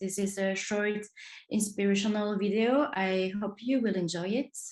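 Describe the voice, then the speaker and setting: This is a woman speaking. She has a French accent. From France, Marseille. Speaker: design trainer. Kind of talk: online workshop. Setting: video call. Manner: hesitant, many fillers.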